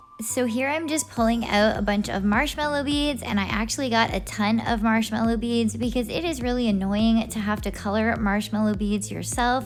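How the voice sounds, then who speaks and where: Soft-spoken at a moderate pace with hardly any pauses and ordinary pitch variation, the voice comes through audible room echo and noticeable background noise. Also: woman, fairly high pitch for a woman. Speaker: slime reviewer YouTuber. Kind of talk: product unboxing review. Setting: home at night. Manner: quiet, soft-spoken.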